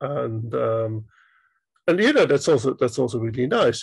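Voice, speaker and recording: A somewhat breathy, medium-pitched male voice at a fairly quick pace. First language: German. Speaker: indie game developer. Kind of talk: interview.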